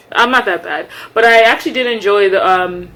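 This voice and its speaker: Noticeable background noise behind a woman speaking with ordinary pitch variation. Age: 20s. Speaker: medical student and vlogger. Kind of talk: casual vlog chat. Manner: fast.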